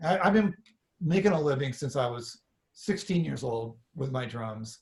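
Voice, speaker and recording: A man with a fairly high pitch uses lively intonation and sounds somewhat breathy. The recording is very clean, with a silent background. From northern California (Sacramento). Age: 60s. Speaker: drummer. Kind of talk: casual interview storytelling. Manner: animated, with frequent repetitions and fillers.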